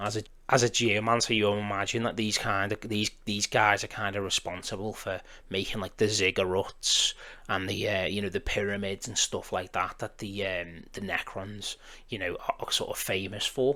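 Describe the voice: The man's voice sits at a fairly low pitch with a bright, sharp tone. There is little pitch movement. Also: moderate pace.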